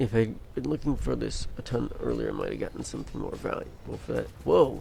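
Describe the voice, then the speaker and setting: A man's fairly quick speech is heard with noticeable noise in the background. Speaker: gaming streamer. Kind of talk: live gameplay commentary. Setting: live stream. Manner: slightly slurred speech.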